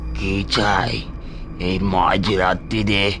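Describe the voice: Over loud background noise, a man does a cartoonish character voice pitched very deep and low.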